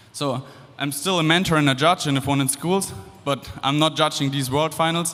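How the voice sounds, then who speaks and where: A man with a German accent talks at a moderate pace in a fairly high voice. Noticeable background noise sits behind him. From Germany. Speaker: engineering student and former competitor. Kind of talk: presentation to audience. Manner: casual, with fillers and restarts.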